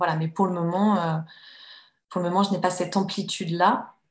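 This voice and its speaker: Over a quiet background, a woman with a fairly low pitch speaks at a moderate pace in a monotone, flat, somewhat breathy way. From France, Annecy (Haute-Savoie). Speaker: novelist and writing teacher. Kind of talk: interview. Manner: hesitant, many fillers and repetitions.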